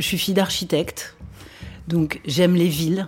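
Music sits behind a woman's voice. She speaks with fairly low pitch and fairly even intonation. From Paris region, France (Vincennes). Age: 40s. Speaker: radio journalist and interviewer. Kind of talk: interview conversation. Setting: at home.

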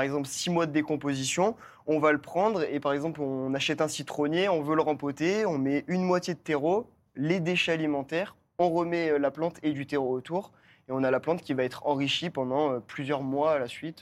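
A man with a plain, everyday voice and a fairly high pitch speaks at a moderate pace with fairly even intonation in a very clean recording with a silent background. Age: 20s. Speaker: permaculturist. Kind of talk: casual chat.

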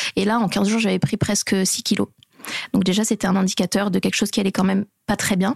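A woman speaks very fast at medium pitch with ordinary pitch variation, vocal fry and very even loudness, in a dry, close sound with no echo. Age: 30s. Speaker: mother of a premature baby. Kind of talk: interview testimony.

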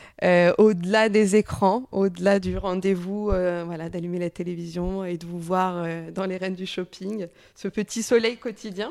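A woman talks in an ordinary speaking voice, medium in pitch, at a moderate pace with hardly any pauses. Her intonation is fairly even, while her loudness swings widely. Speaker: podcast host and journalist. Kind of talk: interview.

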